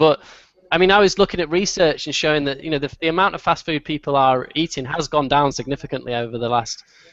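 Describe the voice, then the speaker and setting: Talking at a very fast pace, a man has a slight Manchester accent. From northern England, Manchester. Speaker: marketing agency founder. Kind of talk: webinar Q&A. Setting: video call.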